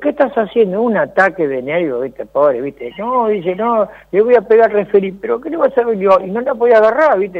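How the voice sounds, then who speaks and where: A man with a Rioplatense accent speaks at a high pitch. He talks at a fairly quick pace with lively intonation. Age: 60s. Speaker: former footballer. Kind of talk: interview.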